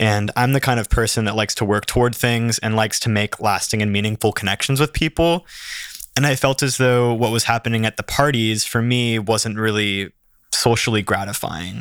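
This man has a plain, everyday voice at medium pitch, delivered at a fairly quick pace with fairly even intonation. The sound is dry and close with no echo, and the recording is very clean with a silent background. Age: 20s. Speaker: photographer. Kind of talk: casual chat.

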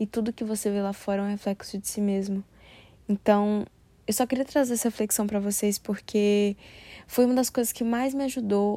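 A woman's voice has a dark, mellow tone and a dry, close sound with no echo. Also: very clean recording, silent background. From Brasília, Brazil. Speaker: podcaster. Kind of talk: solo reflective monologue.

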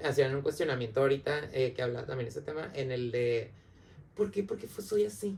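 This man has a fairly high pitch and sounds somewhat breathy. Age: 30s. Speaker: psychologist. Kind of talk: casual chat.

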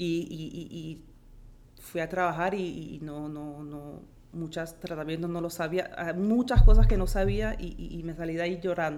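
A woman with a slight Colombian accent speaks at a fairly slow pace in a fairly low voice, her intonation fairly even but her loudness swinging widely. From born in Philadelphia, Colombian and Peruvian parents. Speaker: auxiliary nurse. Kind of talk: interview. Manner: halting, repeats words.

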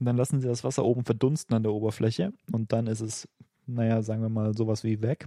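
With a slight Bavarian accent, a man talks very fast in a dark, mellow, medium-pitched voice, his intonation fairly even and the sound dry and close with no echo. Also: quiet background. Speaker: podcast co-host. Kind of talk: casual chat.

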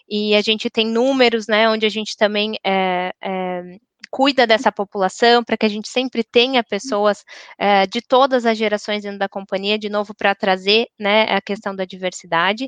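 In a normal speaking voice, a woman talks at a moderate pace and fairly high pitch with fairly even intonation, the sound dry and close with no echo against a quiet background. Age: 30s. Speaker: corporate diversity and HR professional. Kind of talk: panel discussion.

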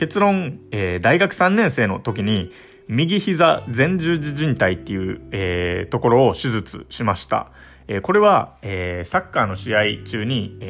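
Pitch swings very widely as this man talks fairly slowly. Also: medium pitch for a man. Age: 20s. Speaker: podcast host, software engineer. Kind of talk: solo talk monologue.

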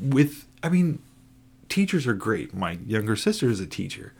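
A man with an American accent and a medium pitch talks at a fairly slow pace, his voice showing vocal fry and very wide pitch swings, in a very clean recording with a silent background. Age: 40s. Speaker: podcast co-host, forklift driver. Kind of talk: casual chat. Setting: home recording late at night.

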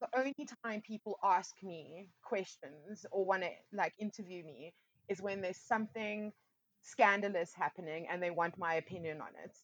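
A woman with an unremarkable speaking voice, medium in pitch, talks at a moderate pace with ordinary pitch variation and big swings in loudness, the sound dry and close with no echo. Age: 30s. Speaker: DJ and music industry manager. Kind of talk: casual interview chat.

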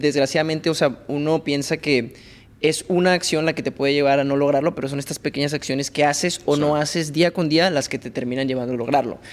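Here a man talks at a very fast pace with fairly high pitch. His intonation is fairly even. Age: 20s. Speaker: podcast host. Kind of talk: casual interview chat.

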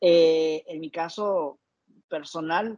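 A man's fairly high voice in a dry, close sound with no echo. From Ecuador. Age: 30s. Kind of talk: interview.

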